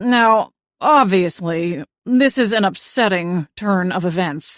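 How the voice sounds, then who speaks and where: Putting on a gruff character voice, a woman speaks at a medium pitch and fairly slow pace with lively intonation over a quiet background. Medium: read story. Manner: stodgy, authoritative.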